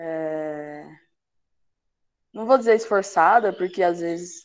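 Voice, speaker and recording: A woman speaks at medium pitch with ordinary pitch variation. Her pace is very slow, and the background is quiet. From interior of São Paulo state, Brazil (Sertãozinho). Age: 20s. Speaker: university student. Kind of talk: self-introduction in online class. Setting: video call.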